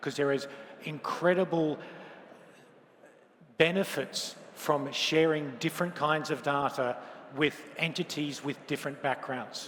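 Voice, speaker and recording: A man with an Australian accent, fairly high in pitch, fairly slow, and fairly even in intonation. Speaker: lawyer and open finance policy expert. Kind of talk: conference keynote talk.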